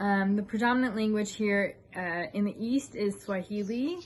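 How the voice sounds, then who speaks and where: In an American accent, a woman speaks somewhat breathily with ordinary pitch variation. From United States. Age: 30s. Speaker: YouTuber. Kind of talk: casual vlog monologue. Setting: outdoors on a veranda. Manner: hesitant, many fillers.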